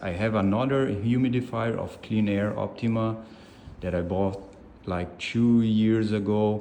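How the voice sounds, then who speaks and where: A man speaks with a dark, mellow tone at a fairly low pitch. He goes at a fairly slow pace, and the room echo is audible. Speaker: product reviewer. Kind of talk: product review. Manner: halting, with self-corrections.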